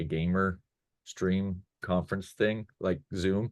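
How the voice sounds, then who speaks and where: Against a quiet background, the speaker talks at a fairly slow pace. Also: man. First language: not English. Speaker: online course creator, former game design professor. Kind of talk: casual chat. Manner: halting, many fillers.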